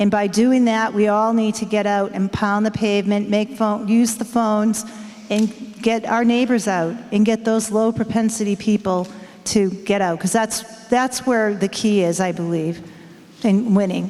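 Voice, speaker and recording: A woman in an American accent, fairly high-pitched, with monotone, flat intonation, very even loudness and a moderate pace, amid noticeable background noise. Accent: Boston, usually suppressed. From Boston. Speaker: party office candidate. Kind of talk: candidate forum speech.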